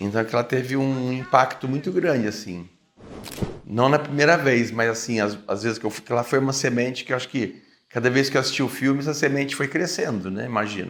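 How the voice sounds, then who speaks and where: In a normal speaking voice, a man speaks at a fairly quick pace with a medium pitch and ordinary pitch variation. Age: 60s. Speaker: vegetarian activist. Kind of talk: interview testimony.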